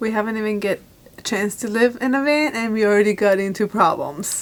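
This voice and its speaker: Noticeable background noise surrounds a woman whose pitch is fairly high. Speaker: vlogger. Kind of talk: casual vlog chat. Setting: self-storage unit.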